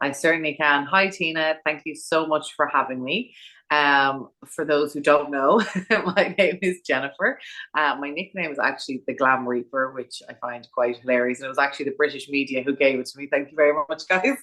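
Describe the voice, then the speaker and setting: In an Irish accent, a woman with a very deep, low pitch speaks at a fairly quick pace in a bright, sharp tone with ordinary pitch variation. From Ireland, Dublin. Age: 40s. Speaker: funeral planner and celebrant. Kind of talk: podcast interview.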